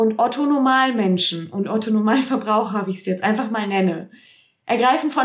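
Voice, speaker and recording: Speaking at a moderate pace, a woman sounds animated. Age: 30s. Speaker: movement and mindset coach, podcast host. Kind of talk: solo podcast monologue.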